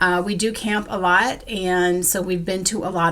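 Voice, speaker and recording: A woman talks at a fairly slow pace. Hers is an ordinary speaking voice, medium in pitch. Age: 60s. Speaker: crafting vlogger, school worker. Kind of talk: casual vlog monologue.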